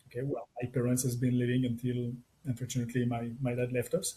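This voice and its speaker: Somewhat breathy and at a fairly quick pace, a man with a French accent speaks at medium pitch in a dark, mellow tone. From France. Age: 60s. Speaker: tech entrepreneur. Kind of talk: interview. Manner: halting.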